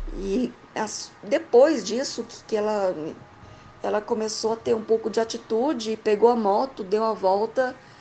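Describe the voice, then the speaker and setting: Speaking at a fairly slow pace, a woman with a fairly high pitch shows ordinary pitch variation amid noticeable background noise. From Goiás, Brazil. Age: 30s. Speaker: listener telling own experience. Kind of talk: recorded personal account. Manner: halting.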